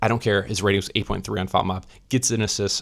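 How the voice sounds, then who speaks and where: A quiet man's fairly low voice on a very clean recording with a silent background. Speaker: football reaction youtuber. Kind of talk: match reaction commentary. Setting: hotel room. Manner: restrained, not yelling.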